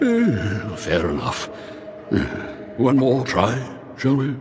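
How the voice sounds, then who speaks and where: A man performs a cartoonish character voice at a medium pitch. Loud background noise runs underneath. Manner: languid, condescending.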